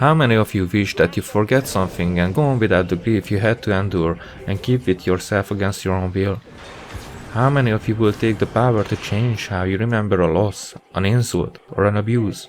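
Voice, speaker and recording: A man with a fairly low pitch and a non-native accent, speaking at a fairly quick pace over noticeable background noise. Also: ordinary pitch variation. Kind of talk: video essay commentary over gameplay. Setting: new microphone recording.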